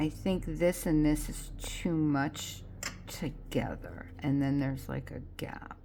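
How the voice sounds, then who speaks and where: Whispering at a very slow pace, a woman is heard with audible room echo. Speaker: card-making crafter. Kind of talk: crafting tutorial. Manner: soft, near whisper.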